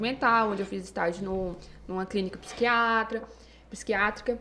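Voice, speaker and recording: Speaking at a fairly quick pace, a woman with a normal speaking voice and fairly high pitch keeps her intonation fairly even. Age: 20s. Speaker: psychologist. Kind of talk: podcast interview.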